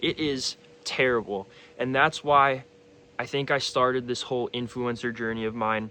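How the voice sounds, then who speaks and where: Here is a man with an unremarkable speaking voice at medium pitch. He keeps a moderate pace and fairly even intonation. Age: 20s. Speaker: fitness influencer and cancer survivor. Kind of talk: personal vlog testimony. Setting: in front of a camera. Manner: casual, with frequent fillers.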